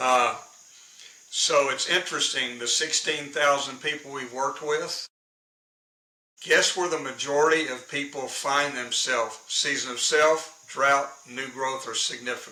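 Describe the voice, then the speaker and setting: In a room with audible echo, a man speaks at a fairly high pitch and a fairly slow pace with monotone, flat intonation. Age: 70s. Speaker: leadership consultant and professional speaker. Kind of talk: interview.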